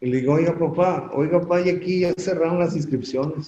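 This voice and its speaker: A man speaks with ordinary pitch variation. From Mexico City. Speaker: construction industry association president. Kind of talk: interview. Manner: animated storytelling.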